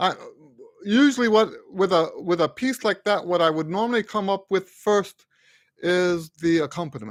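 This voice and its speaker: A man with lively intonation at a moderate pace, against a quiet background, the sound dry with no echo. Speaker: trumpet teacher and composer; trumpet teacher. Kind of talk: live stream Q&A. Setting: live stream. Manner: halting, stuttering today. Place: home room. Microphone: studio mic.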